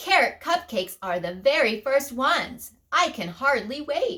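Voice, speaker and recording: A woman puts on a character voice with a high pitch. She speaks at a moderate pace. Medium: read story.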